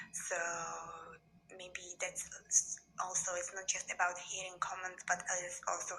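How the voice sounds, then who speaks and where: A woman at a medium pitch with a non-native accent, monotone, flat intonation and a fairly slow pace. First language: not English. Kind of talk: casual talk to camera.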